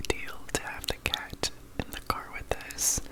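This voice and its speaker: Through noticeable background noise, a man whispers at a fairly slow pace. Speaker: ASMR creator. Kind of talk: ASMR nighttime chat, casual storytelling. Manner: soft, gentle, calm.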